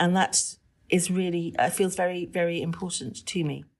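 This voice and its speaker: A woman with a British accent, fairly low-pitched, at a moderate pace against a quiet background. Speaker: teacher, former civil servant. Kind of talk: interview discussion.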